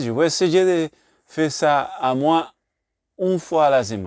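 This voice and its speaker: A man's voice in a Puerto Rican accent, with very wide pitch swings, a dry, close sound with no echo and a quiet background. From Puerto Rico. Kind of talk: casual talk to camera. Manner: hesitant, non-native French with English fillers.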